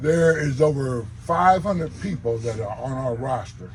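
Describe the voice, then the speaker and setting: Through audible room echo, a man speaks at a fairly slow pace with lively intonation. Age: 70s. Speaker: war veteran. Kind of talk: public talk.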